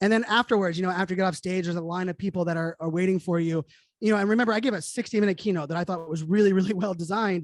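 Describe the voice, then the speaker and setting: The delivery is very fast with an energetic tone. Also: man, high pitch for a man. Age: 40s. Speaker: keynote speaker and digital futurist. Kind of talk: interview conversation.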